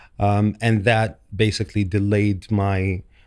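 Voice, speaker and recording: On a very clean recording with a silent background, a man with an Arabic accent talks in a fairly low pitch with monotone, flat intonation. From Saudi Arabia. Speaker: dental specialty trainee. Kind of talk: podcast interview. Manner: hesitant, many fillers.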